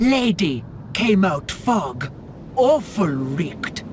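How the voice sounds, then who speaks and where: With clear background noise behind it, a put-on character voice at a middle pitch moves very slowly, its pitch swinging very widely. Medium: video game. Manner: broken, simple grammar.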